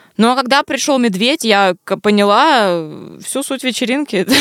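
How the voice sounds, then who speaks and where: A woman speaks with lively intonation on a very clean recording with a silent background and a dry, close sound with no echo. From Vladivostok, Russia. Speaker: podcast co-host. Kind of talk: casual chat.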